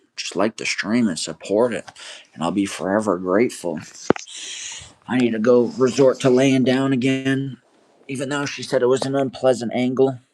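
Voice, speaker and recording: Long, frequent pauses break up a man's medium-pitched speech, delivered at a moderate pace with ordinary pitch variation. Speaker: live streamer. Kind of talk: casual live stream chat. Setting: lying down while streaming. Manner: constant chatter.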